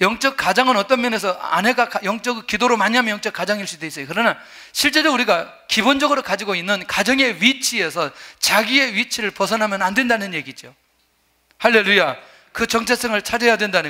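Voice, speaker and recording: A man speaks in a raised, projected voice at a fairly quick pace. His pitch is high, with ordinary variation. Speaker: pastor. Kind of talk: sermon. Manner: fast.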